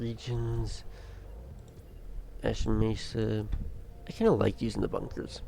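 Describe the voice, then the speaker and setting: The speech moves at a fairly slow pace with long, frequent pauses. There is audible room echo. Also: man. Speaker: gaming streamer. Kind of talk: live gameplay commentary. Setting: live stream. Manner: slightly slurred speech.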